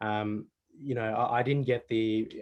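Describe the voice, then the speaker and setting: Speaking with an Australian accent, a man holds a medium pitch. His pitch varies in an ordinary way. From Australia, Melbourne. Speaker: panel guest, award judge and summit organiser. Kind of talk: panel discussion. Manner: conversational with many fillers.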